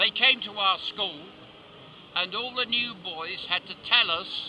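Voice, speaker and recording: Speaking fairly slowly, a man with a British accent uses a high pitch. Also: ordinary pitch variation. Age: 70s. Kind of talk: interview answer.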